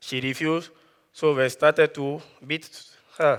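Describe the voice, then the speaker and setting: A man's fairly high-pitched voice in a West African accent, flat and monotone, at a fairly slow pace. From Ivory Coast. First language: Dioula. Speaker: student speaker. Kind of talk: prepared talk.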